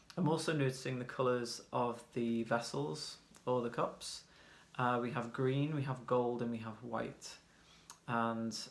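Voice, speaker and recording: With a British accent, a man speaks at medium pitch and a fairly slow pace, his intonation fairly even, in a room with audible echo. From UK. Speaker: tarot reader. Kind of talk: tarot reading. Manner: casual, hesitant with fillers.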